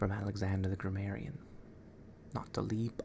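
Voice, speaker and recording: A man is whispering. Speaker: ASMR creator. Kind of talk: ASMR book reading. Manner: soft-spoken.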